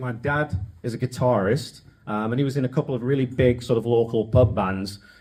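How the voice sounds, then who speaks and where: This man talks at a medium pitch with an English accent. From northern England (Wigan). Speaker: podcast host. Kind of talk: storytelling talk to an audience. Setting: stage with audience. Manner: casual, joking.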